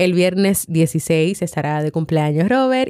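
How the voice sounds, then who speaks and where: On a very clean recording with a silent background, a woman's voice swings very widely in pitch. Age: 30s. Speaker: podcast host and psychologist. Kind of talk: reflective monologue.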